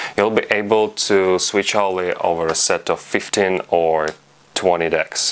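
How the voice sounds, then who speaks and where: A man with a non-native accent, fairly low-pitched, fairly slow, monotone and flat in intonation, with very even loudness. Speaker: fingerboard instructor. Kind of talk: tutorial instruction to camera.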